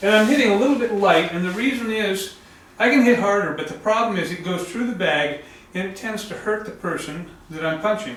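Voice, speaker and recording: In a room with audible echo and noticeable background noise, a man with a high pitch speaks at a fairly quick pace with ordinary pitch variation. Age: 70s. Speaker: karate instructor. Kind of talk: tutorial. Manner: hesitant, many fillers.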